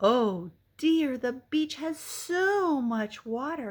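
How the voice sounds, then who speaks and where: In a put-on character voice, a female-sounding speaker talks very slowly at a high pitch. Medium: read story.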